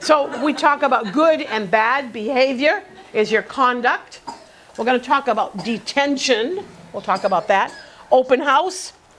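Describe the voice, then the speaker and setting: A woman speaks in a high pitch with lively intonation and an animated tone over noticeable background noise. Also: fairly slow pace. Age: 70s. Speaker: teacher, workshop instructor. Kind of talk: classroom lecture. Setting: classroom with live students.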